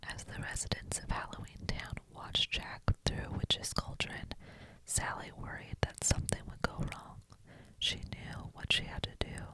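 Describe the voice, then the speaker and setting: A woman whispers at a moderate pace through noticeable background noise. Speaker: ASMR reader. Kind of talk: whispered bedtime story reading. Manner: whispered, soft.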